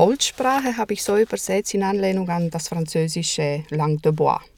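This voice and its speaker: A woman with a Romanian accent, her fairly low pitch paired with a dark, mellow tone. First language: Romanian (speaking German). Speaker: translator and interpreter, lecturer. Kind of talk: interview.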